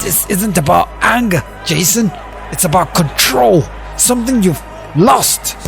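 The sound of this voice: A man puts on a character voice, high-pitched with vocal fry, a fairly bright tone and lively intonation, at a fairly slow pace. Faint crowd noise and faint music sit in the background.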